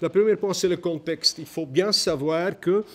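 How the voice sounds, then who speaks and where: Speaking very slowly, a man keeps his pitch variation ordinary. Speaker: historian, conference speaker. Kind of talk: conference talk. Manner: halting, many hesitations.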